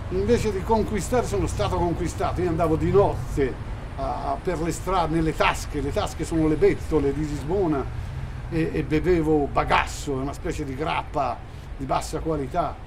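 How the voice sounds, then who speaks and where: A man speaks at a moderate pace. Noticeable background noise and audible room echo surround his voice. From Italy. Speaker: actor. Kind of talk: interview.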